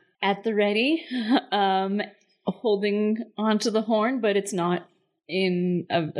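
The background is quiet, leaving a natural reading voice in front.

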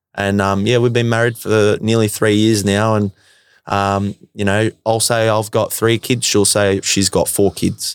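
On a very clean recording with a silent background, a man with an Australian accent speaks fairly slowly at a fairly low pitch, in a monotone, flat intonation with very even loudness and a dry, close sound with no echo. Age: 20s. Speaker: electrician and former footballer. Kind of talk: casual interview.

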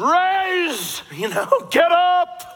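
A man shouting in a put-on character voice at an extremely high pitch. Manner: commanding, authoritative.

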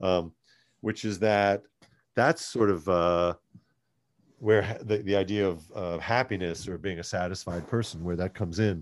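A man speaks at a moderate pace in a fairly low pitch, with fairly even intonation, long and frequent pauses, and a quiet background. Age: 50s. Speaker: comedian and actor. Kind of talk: casual chat.

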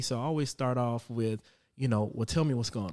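A man's dark, mellow voice at medium pitch, fairly quick in pace, with ordinary pitch variation, on a very clean recording with a silent background. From South Carolina (Florence). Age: 30s. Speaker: father sharing experiences. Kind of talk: casual conversation.

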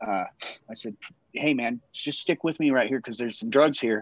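A man speaks in an American accent at a fairly quick pace. He has an ordinary speaking voice with a medium pitch. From Colorado, Littleton. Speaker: person in addiction recovery. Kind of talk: casual chat.

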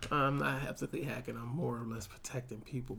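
Very fast speech with vocal fry. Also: man. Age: 30s. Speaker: podcast co-host. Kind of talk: casual chat.

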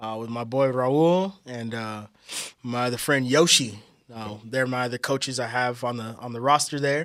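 In an ordinary speaking voice, a man with an American accent talks at a medium pitch and moderate pace with fairly even intonation, on a very clean recording with a silent background. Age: 30s. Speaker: musician and drummer. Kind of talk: casual chat.

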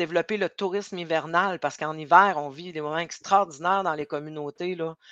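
A woman speaks fairly quickly with hardly any pauses, at a fairly low pitch with a bright, sharp tone, fairly even intonation and big swings in loudness. The sound is dry and close with no echo, over a quiet background. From Quebec North Shore, Innu community near Sept-Îles. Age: 50s. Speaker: entrepreneur, business owner. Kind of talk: interview.

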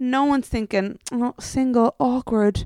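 On a very clean recording with a silent background and a dry, close sound with no echo, a woman with an Irish accent speaks at a high pitch in an animated tone, with ordinary pitch variation. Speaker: podcast co-host. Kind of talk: casual chat. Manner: animated, laughs often.

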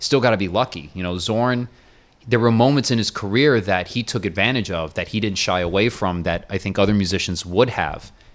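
An unremarkable speaking voice from a man with an American accent, fairly low in pitch, fairly quick in pace, with ordinary pitch variation. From US, Miami. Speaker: jazz and metal drummer. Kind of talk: casual interview.

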